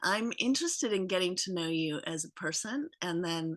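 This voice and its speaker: Against a quiet background, a woman's bright, sharp voice moves in very wide pitch swings. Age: 60s. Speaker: guest interviewee. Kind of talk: casual chat.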